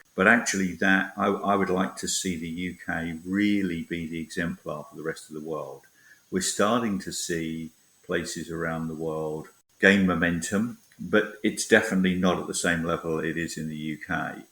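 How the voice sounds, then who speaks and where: With a British accent, a man speaks at a moderate pace in a very deep, low pitch and a bright, sharp tone. His intonation is fairly even, while his loudness swings widely. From Britain. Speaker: tech industry academic research lead. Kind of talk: interview.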